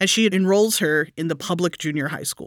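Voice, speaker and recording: In a very clean recording with a silent background, a woman with a bright, sharp tone speaks at a moderate pace, the sound dry and close with no echo. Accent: American. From Texas. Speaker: podcast host, storyteller. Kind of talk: casual storytelling chat.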